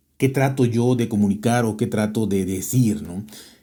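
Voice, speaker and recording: With a Mexican accent, a man talks at a fairly slow pace in a medium pitch and a dark, mellow tone. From Mexico. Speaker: tech podcaster. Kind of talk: interview. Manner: hesitant, many fillers.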